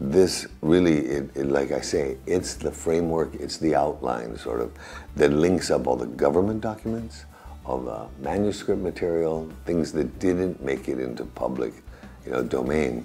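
A man's very deep, low voice at a moderate pace, with faint music in the background. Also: ordinary pitch variation. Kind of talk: interview answer. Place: office.

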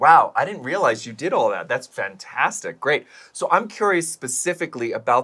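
A man is talking here. His tone comes across bright and sharp. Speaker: arts festival co-founder and show co-host. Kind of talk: casual chat. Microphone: lapel.

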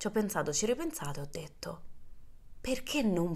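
A woman talks at a moderate speed. Behind her the background stays quiet. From Rome, Italy; Italy. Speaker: podcast host and social media creator; podcast host, social media creator. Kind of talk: casual monologue. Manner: animated. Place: home room. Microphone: studio mic.

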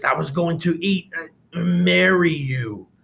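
Hissing in a put-on character voice, a man speaks slowly-ish at a high pitch, his pace fairly slow.

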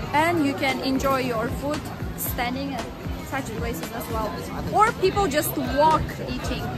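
Loud music plays in the background of this dry recording with no echo. A woman speaks at a fairly slow pace. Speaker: travel vlogger. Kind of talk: casual vlog chat. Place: street. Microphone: phone near.

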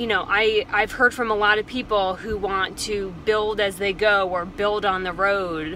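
A woman speaks at a fairly slow pace. The sound is dry with no echo, over light background noise. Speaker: van life vlogger. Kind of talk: casual vlog chat. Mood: frustrated but composed. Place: car. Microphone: phone near.

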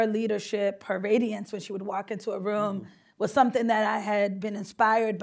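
In a Boston accent, a woman speaks at a fairly quick pace with monotone, flat intonation. Her pitch is fairly high, and the background is quiet. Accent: Boston-area American English. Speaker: state senator. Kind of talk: panel discussion. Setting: stage with audience. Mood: earnest, emotional personal story. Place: hall.

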